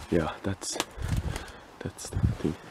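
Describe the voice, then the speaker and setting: A man with a Finnish accent speaks quietly. There is noticeable background noise. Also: dry sound with no echo. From Finland. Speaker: urban explorer, video creator; video creator. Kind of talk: casual walkthrough commentary. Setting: outdoors, abandoned property. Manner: quiet, hushed; halting, hesitant. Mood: curious, surprised. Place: open country. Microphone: phone near.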